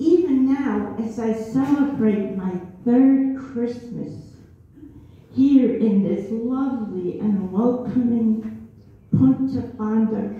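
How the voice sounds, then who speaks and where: Audible room echo and noticeable background noise around lively intonation. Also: woman. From Germany. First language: German. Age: 70s. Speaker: community show performer. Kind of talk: storytelling at a holiday show. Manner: halting.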